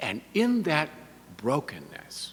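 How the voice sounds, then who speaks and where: This is a man's voice. The tone is bright and sharp. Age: 60s. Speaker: bishop-elect and priest. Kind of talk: sermon. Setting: church service. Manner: conversational.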